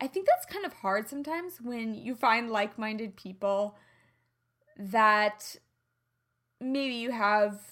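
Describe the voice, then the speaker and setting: With a slight Midwestern accent, a woman speaks at a fairly high pitch with ordinary pitch variation in a very clean recording with a silent background. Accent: slight Midwestern twang. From US Midwest. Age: 30s. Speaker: podcast host, health and lifestyle coach. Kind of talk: solo podcast monologue. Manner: animated.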